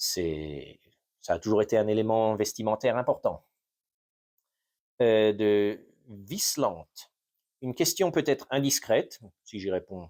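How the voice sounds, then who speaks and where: A man speaks with a dark, mellow tone and lively intonation, his loudness swinging widely between long, frequent pauses. The recording is very clean, with a silent background. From France (Normandy) and US, bilingual. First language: English (speaking French). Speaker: history YouTuber. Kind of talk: unscripted Q&A monologue. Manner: halting, many fillers.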